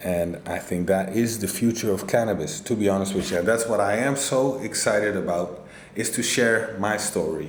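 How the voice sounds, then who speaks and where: A man speaks with a non-native accent. There is audible room echo and noticeable background noise. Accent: non-native English speaker. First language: not English. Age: 40s. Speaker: cannabis grower. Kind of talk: casual vlog monologue.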